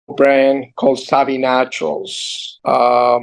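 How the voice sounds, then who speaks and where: Here a man speaks with a strong Argentine accent at a medium pitch. His delivery is very slow and monotone, with flat intonation. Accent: heavy Argentine Spanish. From Argentina. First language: Spanish. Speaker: entrepreneur. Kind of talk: interview. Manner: halting.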